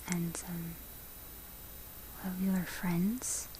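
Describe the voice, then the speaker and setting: A soft-spoken woman's fairly low, gentle voice at a very slow pace, with noticeable background noise. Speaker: ASMR content creator. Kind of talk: ASMR close-up whisper talk about her relationship. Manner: soft-spoken, close-mic, gentle.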